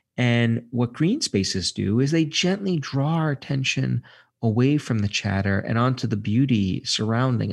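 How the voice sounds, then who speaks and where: A man with an American accent, medium pitch and lively intonation, at a moderate pace and very even loudness, on a very clean recording with a silent background. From Brooklyn, New York. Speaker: psychology professor and author. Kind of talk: interview. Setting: studio.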